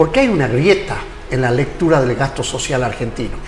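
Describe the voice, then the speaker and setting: Audible room echo and noticeable background noise beneath a lively, varied intonation. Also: man. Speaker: talk show host. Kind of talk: interview.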